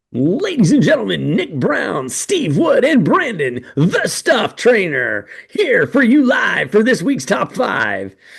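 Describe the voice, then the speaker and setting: In a put-on character voice, a man talks at a fairly slow pace. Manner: announcing, showy.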